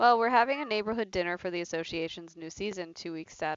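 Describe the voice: Unadorned reading aloud, its pitch varying in an ordinary way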